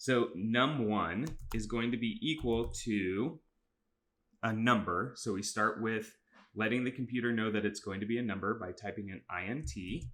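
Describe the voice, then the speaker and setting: This man's medium-pitched voice shows ordinary pitch variation. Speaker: middle school teacher. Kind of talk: tutorial. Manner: fast; casual, with fillers.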